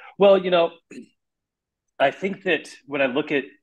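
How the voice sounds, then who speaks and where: A man with an Upper Midwest accent. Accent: Upper Midwest American. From US Midwest, South Dakota. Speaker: jiu-jitsu champion and salesman. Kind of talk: podcast interview.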